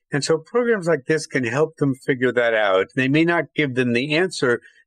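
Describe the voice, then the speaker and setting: An unremarkable speaking voice with ordinary pitch variation goes at a moderate pace in a dry, close sound with no echo. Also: man, quiet background. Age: 60s. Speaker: journalist. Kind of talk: podcast interview.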